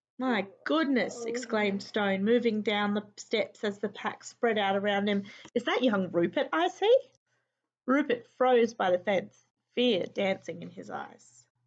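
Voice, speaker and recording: An unremarkable speaking voice from a woman, fairly high in pitch, at a fairly slow pace with ordinary pitch variation. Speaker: teacher. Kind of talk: children's book read-aloud.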